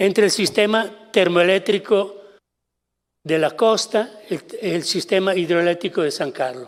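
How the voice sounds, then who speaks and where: Speaking with an Italian accent, a man talks at a fairly slow pace with a high pitch and ordinary pitch variation. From Italy. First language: Italian (speaking Spanish). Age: 70s. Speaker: kidnapping victim, translator. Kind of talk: testimony.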